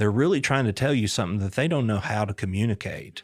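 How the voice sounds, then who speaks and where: An unremarkable speaking voice belongs to a man of medium pitch with ordinary pitch variation. It is captured in a very clean recording with a silent background. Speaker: podcast host. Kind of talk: interview question.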